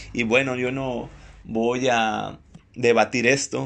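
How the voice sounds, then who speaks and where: A man speaks at a fairly slow pace with a medium pitch and fairly even intonation. His is an ordinary speaking voice. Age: 20s. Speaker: inspirational podcast host. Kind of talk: motivational monologue. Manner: warm, informal.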